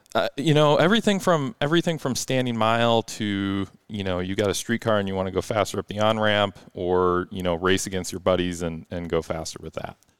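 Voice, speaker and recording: A man's plain, everyday voice at a fairly low pitch and fairly quick pace, with lively intonation, hardly any pauses, and a very clean recording with a silent background. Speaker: performance car tuning shop owner. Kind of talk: casual interview chat. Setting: studio.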